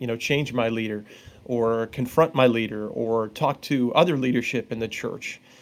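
A man with a normal speaking voice talks at a moderate pace and medium pitch, his intonation fairly even. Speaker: author and therapist. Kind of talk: casual interview chat. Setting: video call.

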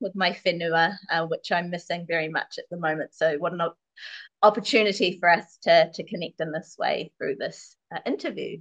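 A New Zealand accent at a moderate pace, with ordinary pitch variation and a dry, close sound free of echo. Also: woman. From New Zealand (Māori, Wairarapa). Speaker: Māori mother in bicultural couple. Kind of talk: casual chat.

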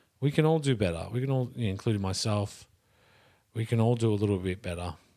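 A man with an Australian accent, medium pitch and lively intonation, at a fairly quick pace, on a very clean recording with a silent background. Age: 30s. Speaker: movement and fitness practitioner. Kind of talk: casual chat.

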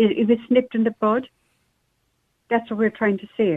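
A woman with an Irish accent speaks at a fairly high pitch. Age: 70s. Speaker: caller. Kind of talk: phone-in chat.

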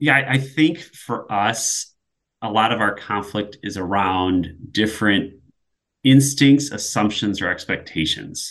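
This man has an ordinary speaking voice, pitched fairly low. He talks at a fairly slow pace with ordinary pitch variation. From US Midwest. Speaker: project manager. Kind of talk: casual chat.

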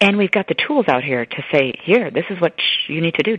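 Speaking at a fairly quick pace with an American accent, a woman has a fairly low pitch and lively intonation. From US Midwest, Chicago. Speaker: neurologist. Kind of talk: interview.

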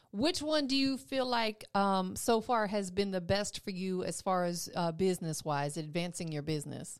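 With hardly any pauses, a woman talks in an unremarkable speaking voice of medium pitch and lively intonation, captured in a very clean recording with a silent background. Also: moderate pace. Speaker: radio host. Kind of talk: casual radio interview. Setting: radio studio. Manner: upbeat, friendly.

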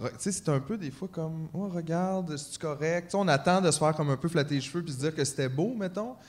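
Using an ordinary speaking voice, a man with fairly high pitch and ordinary pitch variation talks at a fairly quick pace with hardly any pauses. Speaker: podcast co-host. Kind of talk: live podcast with audience. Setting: stage with audience.

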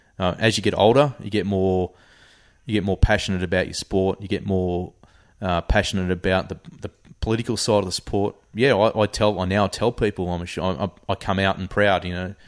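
With an Australian accent, a man talks at a fairly quick pace and with fairly even intonation, in a dry, close sound with no echo over a quiet background. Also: fairly low pitch for a man. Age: 40s. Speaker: hunter and army reservist. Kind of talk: casual interview chat. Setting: at home, in person.

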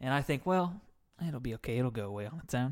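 The delivery is very fast and playful in tone. The recording is very clean, with a silent background. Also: man. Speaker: podcast co-host. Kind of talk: casual banter, comedic chat. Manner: joking, playful.

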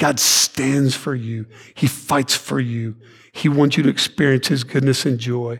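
A man with a Texan accent speaks at a fairly slow pace, his voice medium in pitch and somewhat breathy. His intonation stays fairly even. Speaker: pastor. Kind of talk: sermon. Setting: church.

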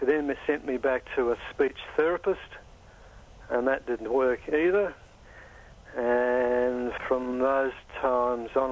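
With an Australian accent, a man at medium pitch speaks in a fairly even intonation, leaving long, frequent pauses. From Australia, Adelaide. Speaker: dentist and stuttering advocate. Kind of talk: interview. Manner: fluent.

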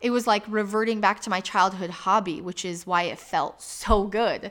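Very clean recording with a silent background, a woman's unremarkable speaking voice at medium pitch, with ordinary pitch variation, a moderate pace and an American accent. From Michigan, US Midwest. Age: 30s. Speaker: podcast host. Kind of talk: personal monologue.

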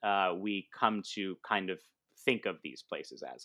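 Here a man speaks with an American accent. His tone is bright and sharp. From US West Coast, San Diego, California. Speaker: comedian, improv teacher and actor. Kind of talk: casual interview chat. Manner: halting, many fillers.

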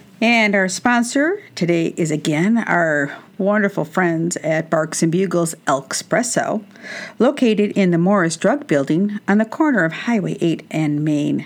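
A normal speaking voice from a woman at medium pitch, with lively intonation, very even loudness and a fairly slow pace. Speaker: radio host. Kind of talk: scripted intro and sponsor read. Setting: studio.

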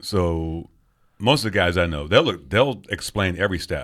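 In a very clean recording with a silent background, a man speaks at a fairly slow pace. His voice is very deep and low, with ordinary pitch variation. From England. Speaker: podcast host, beer enthusiast. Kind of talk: casual chat.

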